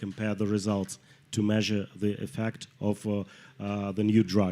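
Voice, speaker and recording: A man with a Russian accent speaks in a monotone, flat intonation. His fairly low pitch carries a dark, mellow tone. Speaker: clinical pharmacologist. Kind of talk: panel discussion. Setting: studio with live audience. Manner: halting, many hesitations.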